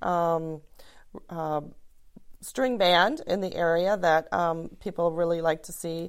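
Delivered at a very slow pace with an Upper Midwest accent, the speech has long, frequent pauses and big swings in loudness. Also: woman, fairly low pitch for a woman, fairly even intonation. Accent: Upper Midwest American. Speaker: arts nonprofit director. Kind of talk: interview.

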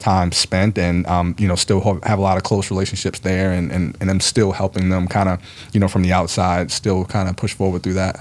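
A man with an American accent speaks at a very deep, low pitch and a fairly quick pace, with hardly any pauses. His intonation is flat and monotone. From US, Baltimore. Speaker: gym owner and fitness trainer. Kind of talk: casual interview.

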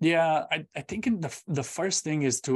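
Against a quiet background, a man with a Romanian accent talks at a moderate pace with ordinary pitch variation. The sound is dry and close, with no echo. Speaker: public speaker and semiconductor engineer. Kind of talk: interview.

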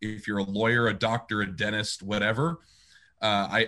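Quiet background and a man's fairly low voice with a bright, sharp tone. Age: 30s. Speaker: pastor and worship leader. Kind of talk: casual interview.

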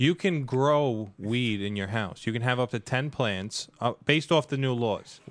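A man's unremarkable speaking voice, medium in pitch, at a moderate pace with hardly any pauses and ordinary pitch variation. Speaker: financial seminar attendee and union member. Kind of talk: casual chat. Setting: studio. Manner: joking, sarcastic.

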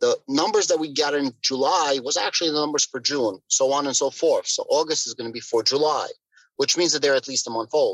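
In a normal speaking voice, a man talks at a fairly quick pace and fairly high pitch with ordinary pitch variation, the sound dry and close with no echo. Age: 30s. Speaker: crypto content creator. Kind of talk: casual chat.

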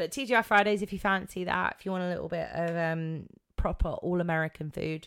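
A woman's fairly low voice with an English accent, moderate pace and ordinary pitch variation, in a very clean recording with a silent background. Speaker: podcast host. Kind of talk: casual chat. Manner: chatty, many fillers.

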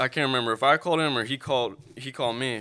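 A man with an American accent talks in a bright, sharp tone, his pitch varying in an ordinary way. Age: 20s. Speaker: videographer and music video director. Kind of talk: casual chat. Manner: well-spoken.

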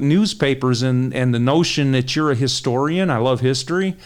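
A man speaks at a moderate pace in a medium pitch. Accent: Detroit. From Detroit, Michigan. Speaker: crime reporter. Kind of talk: interview.

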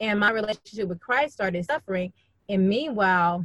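A woman with an American accent, medium in pitch and somewhat breathy, at a fairly quick pace with ordinary pitch variation, recorded dry and close with no echo. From Birmingham, Alabama. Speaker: guest sharing marriage story, author. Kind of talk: testimony.

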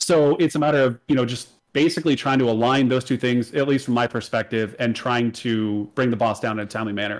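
Man at medium pitch, very fast pace, hardly any pauses, ordinary pitch variation, very clean recording with a silent background. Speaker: podcast co-host. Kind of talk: casual chat. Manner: loud when excited.

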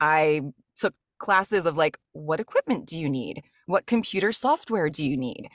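A woman with a Mid-Atlantic American accent speaks at a fairly low pitch with lively intonation. The sound is dry and close with no echo, over a quiet background. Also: moderate pace. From US, rural Maryland. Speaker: voice actor and audiobook narrator. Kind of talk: casual interview chat.

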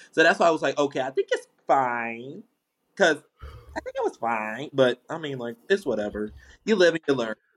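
This man has an unremarkable speaking voice at a fairly high pitch. He speaks at a moderate pace with lively intonation. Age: 20s. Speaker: podcast host. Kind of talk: casual chat.

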